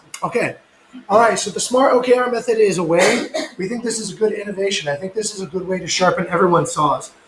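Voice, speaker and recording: A man with a high pitch for a man speaks at a very fast pace. Noticeable background noise runs beneath his voice. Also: ordinary pitch variation. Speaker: company leader running team meeting. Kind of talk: staff meeting presentation. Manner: hesitant, filler words.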